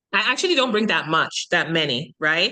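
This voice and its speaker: A woman's bright, sharp voice with a Jamaican accent, over a quiet background. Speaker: online business coach, summit organizer. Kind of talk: podcast interview.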